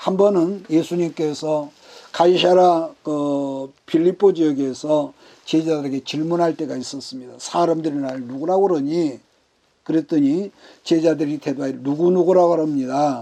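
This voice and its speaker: This man's voice sits at a fairly high pitch with a dark, mellow tone. He talks at a fairly slow pace. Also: fairly even intonation. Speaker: pastor. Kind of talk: bible study sermon.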